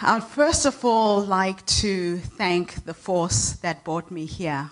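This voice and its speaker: A woman's very slow speech with lively intonation. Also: medium pitch for a woman. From Zimbabwe. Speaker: inspirational speaker. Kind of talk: keynote speech. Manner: energetic.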